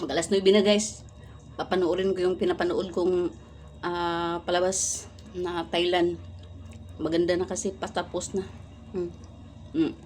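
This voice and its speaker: A woman's fairly low, monotone, flat voice at a fairly slow pace, with long, frequent pauses and music in the background. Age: 50s. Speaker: vlogger. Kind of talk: casual cooking and eating vlog.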